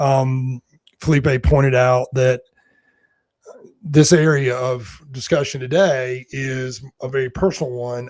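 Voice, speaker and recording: Speaking with a North Carolina accent, a man talks at a very slow pace with long, frequent pauses. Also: medium pitch for a man, fairly even intonation. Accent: Southern US (North Carolina), self-described. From US South, North Carolina mountains and foothills. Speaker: executive search and leadership consultant. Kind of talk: panel interview.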